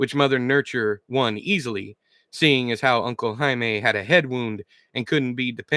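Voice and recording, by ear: The background stays quiet. Over it, the text is read aloud in a natural voice.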